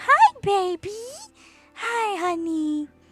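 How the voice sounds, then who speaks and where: An extremely high-pitched, put-on character voice over faint music in the background. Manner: affectionate.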